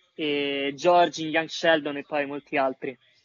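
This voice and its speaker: A man talks at a fairly slow pace. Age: 20s. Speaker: voice actor.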